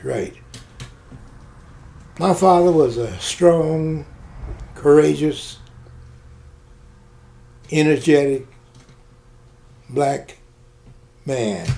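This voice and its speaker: With a Southern US accent, a man speaks at a very slow pace and fairly high pitch, using ordinary pitch variation and long, frequent pauses. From Mississippi. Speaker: retired Air Force officer. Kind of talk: oral history interview answer.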